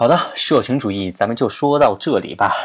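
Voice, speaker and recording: Animated in tone, a man of medium pitch talks at a fairly quick pace with lively intonation. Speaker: podcast host. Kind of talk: casual explanatory monologue.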